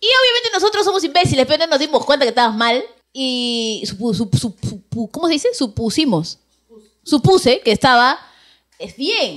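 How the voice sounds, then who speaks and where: A woman speaks at a high pitch, her voice leaping across very wide pitch swings. Her loudness also rises and falls in big swings. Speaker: radio host. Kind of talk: casual chat. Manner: fast.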